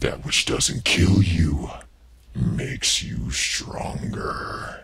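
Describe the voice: Using a put-on character voice, a man speaks very slowly in a very deep, low pitch with very wide pitch swings.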